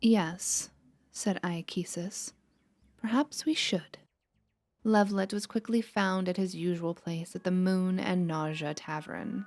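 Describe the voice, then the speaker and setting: On a very clean recording with a silent background, a soft-spoken woman talks at a fairly slow pace. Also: medium pitch for a woman, ordinary pitch variation. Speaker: ASMR gaming narrator. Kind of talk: reading aloud. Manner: relaxed.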